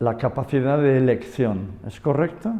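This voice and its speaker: A man with an English accent speaks in a fairly high pitch for a man, with a dark, mellow tone and lively intonation. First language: English (speaking Spanish). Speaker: yoga and Buddhism expert. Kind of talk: conversational interview. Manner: halting, with false starts.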